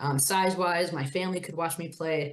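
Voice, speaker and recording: Amid audible room echo, a woman with an Upper Midwest accent speaks at a fairly quick pace. Her pitch is fairly low, with fairly even intonation. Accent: Upper Midwest (Minnesota). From northern Minnesota, near Duluth. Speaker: women's hockey administrator, former college player. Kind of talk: interview.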